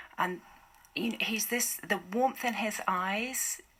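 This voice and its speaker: A woman uses a normal speaking voice, keeping a moderate pace and ordinary pitch variation. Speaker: charity volunteer and campaigner. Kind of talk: radio interview answer.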